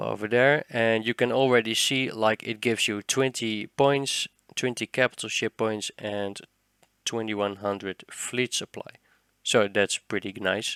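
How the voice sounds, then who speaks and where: A man with a Dutch accent speaks at a fairly slow pace, his medium-pitched voice fairly even in intonation. The sound is dry and close, with no echo. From Netherlands. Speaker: gaming tutorial creator. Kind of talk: tutorial. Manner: casual, hesitant with fillers.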